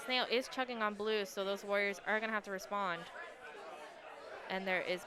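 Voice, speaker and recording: Crowd noise sits in the background as a woman speaks at a medium pitch. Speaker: esports commentator. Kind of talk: live commentary. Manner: monotone.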